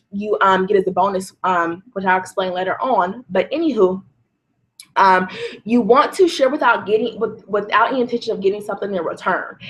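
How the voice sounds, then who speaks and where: An American accent with ordinary pitch variation. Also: woman. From California. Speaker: online marketing coach. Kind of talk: webinar presentation. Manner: fast; animated.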